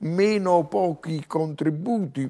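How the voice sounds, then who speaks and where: A man with a fairly high pitch and a dark, mellow tone speaks at a very slow pace. The background is quiet. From Naples, Italy; Italy. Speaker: professor and TV commentator; professor, TV commentator. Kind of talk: TV interview. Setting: TV studio. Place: studio. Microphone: lapel.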